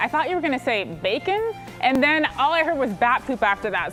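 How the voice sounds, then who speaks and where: An upbeat woman with an American accent, very fast and with lively intonation, over music in the background. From Southern California. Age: 20s. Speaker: TV co-host and multimedia journalist. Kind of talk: TV lifestyle segment host.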